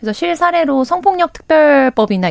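Very wide pitch swings mark this woman's speech. Her pace is moderate. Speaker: political commentator. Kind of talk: radio current affairs talk.

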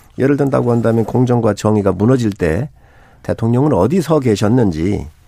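A man's voice of medium pitch and a dark, mellow tone moves at a moderate pace. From Chungcheong, South Korea. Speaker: opposition party lawmaker. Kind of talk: political talk show debate.

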